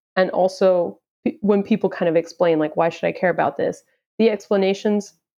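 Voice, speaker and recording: A woman with an American accent talks at a moderate pace in a medium pitch, with vocal fry. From Houston, Texas. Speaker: crypto marketing manager. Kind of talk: casual interview.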